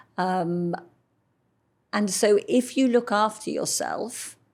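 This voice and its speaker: On a very clean recording with a silent background, a woman speaks at medium pitch in a London accent. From London, England. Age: 60s. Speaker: model. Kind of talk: interview.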